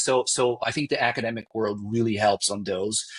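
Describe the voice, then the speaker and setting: A man speaks with a slight Brazilian accent. His pace is fairly quick. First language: Portuguese. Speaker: marketing executive. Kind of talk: podcast interview. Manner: halting, with false starts.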